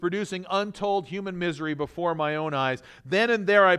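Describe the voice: Ordinary pitch variation in plain reading aloud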